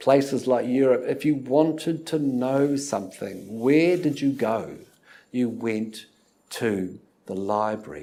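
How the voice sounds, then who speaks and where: Speaking very slowly, a man has a New Zealand accent. His tone is dark and mellow, and his pitch varies in an ordinary way. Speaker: university lecturer. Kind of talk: lecture. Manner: hesitant, many fillers.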